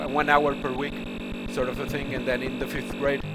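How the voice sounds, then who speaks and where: A man with an American accent speaks at a fairly high pitch and a fairly quick pace. Music plays in the background. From Portugal. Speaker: stream host. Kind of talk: casual chat. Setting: live stream. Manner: halting.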